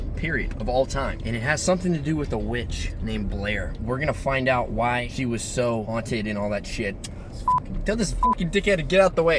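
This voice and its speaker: Over noticeable background noise, a man speaks at a fairly quick pace with medium pitch and lively intonation. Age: young. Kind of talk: casual talk to camera, vlog-style. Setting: outdoors. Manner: joking, profane.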